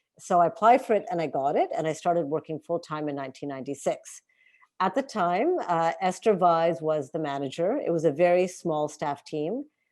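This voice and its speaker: Here a woman speaks with a Canadian accent at a fairly quick pace. Her fairly low voice has lively intonation. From Montreal, Canada. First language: Hindi. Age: 40s. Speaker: former bookstore worker and activist. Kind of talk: oral history interview.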